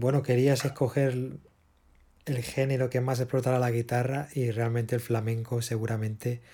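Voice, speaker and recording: Somewhat breathy and dark, mellow in tone, a man of medium pitch speaks at a fairly slow pace with monotone, flat intonation. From Spain (Barcelona). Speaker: podcast host, musician and producer. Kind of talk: interview.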